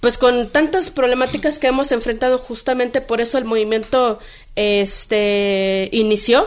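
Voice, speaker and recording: A woman's pitch varies in an ordinary way as she talks at a moderate speed. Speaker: midwife and spokeswoman. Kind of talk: interview. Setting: radio studio. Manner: hesitant, many fillers.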